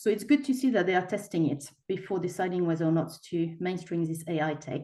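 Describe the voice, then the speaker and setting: A woman with a French accent speaks at a fairly quick pace, her fairly low pitch and dark, mellow tone paired with lively intonation. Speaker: equality and human rights presenter. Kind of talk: webinar presentation.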